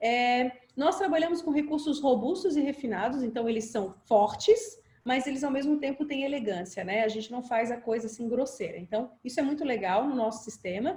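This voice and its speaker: A woman's high voice with lively intonation. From Brazil, Florianópolis (Santa Catarina island). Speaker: software company presenter. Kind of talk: webinar presentation. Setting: online video webinar. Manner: fast.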